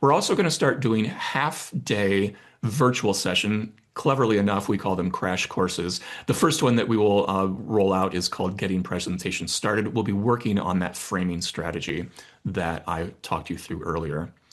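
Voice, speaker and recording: With a normal speaking voice, a man talks at a moderate pace and a fairly low pitch, with ordinary pitch variation over a quiet background. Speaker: corporate communication trainer. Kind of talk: webinar presentation. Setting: online webinar.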